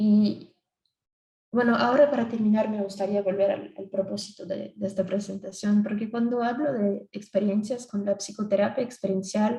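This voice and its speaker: A woman with a Brazilian accent speaks at a moderate pace and medium pitch, her voice somewhat breathy with a dark, mellow tone and fairly even intonation. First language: Portuguese (speaking Spanish). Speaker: psychologist. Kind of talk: conference presentation. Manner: halting.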